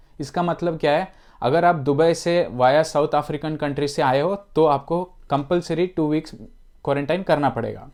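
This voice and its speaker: This man has a non-native accent and a fairly high pitch. His intonation stays fairly even over a quiet background. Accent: non-native Hindi. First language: not Hindi (speaking Hindi). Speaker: YouTuber giving immigration and travel updates. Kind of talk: informational vlog. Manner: hesitant, with self-corrections.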